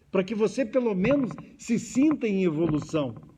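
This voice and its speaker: A high-pitched man's voice, very slow, with very wide pitch swings. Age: 70s. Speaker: spiritist lecturer. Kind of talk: lecture. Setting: hall with audience, also streamed.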